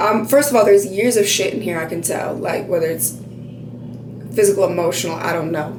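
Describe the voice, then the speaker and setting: A woman speaks with a fairly low pitch for a woman. Audible room echo and noticeable background noise fill the recording. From Montana. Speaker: beauty vlogger. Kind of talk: tutorial. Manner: loud; casual, filler-heavy.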